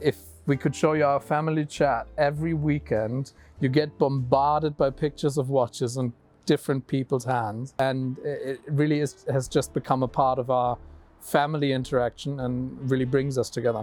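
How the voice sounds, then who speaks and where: A man of medium pitch speaks at a moderate pace with fairly even intonation as music plays in the background. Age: 20s. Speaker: watch collector. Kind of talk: interview.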